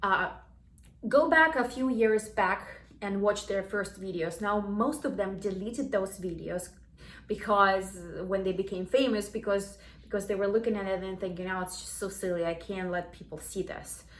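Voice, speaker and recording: A woman with a non-native accent speaks at a moderate pace, her medium pitch showing ordinary variation. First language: not English. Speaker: self-help vlogger. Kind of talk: casual talk to camera. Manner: halting, many restarts.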